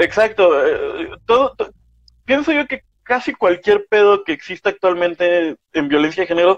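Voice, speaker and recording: This man's voice sits high and moves with lively intonation at a moderate pace. The sound is dry and close, with no echo. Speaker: podcast co-host. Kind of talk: casual chat. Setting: livestream. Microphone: poor audio quality.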